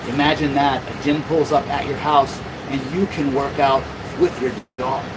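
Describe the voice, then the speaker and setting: Noticeable noise sits behind this man's fairly high voice. He talks at a moderate pace. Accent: American. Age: 50s. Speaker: mobile dog-exercise business owner, livestreamer. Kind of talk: livestream chat reading viewer comments. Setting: inside a climate-controlled van.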